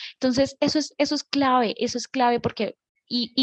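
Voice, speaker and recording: Recorded dry and close with no echo, a woman speaks at a moderate pace in a high pitch with fairly even intonation. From Colombia, Bogotá. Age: 20s. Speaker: nudist community organizer, actress and dancer. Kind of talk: casual interview.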